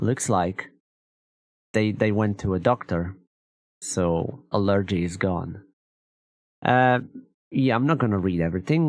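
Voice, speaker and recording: A man talks at a fairly slow pace with a non-native accent. His pitch is fairly low, with ordinary variation. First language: not English. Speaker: gaming streamer. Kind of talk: reading and reacting to a blog post. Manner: halting, with many restarts and fillers.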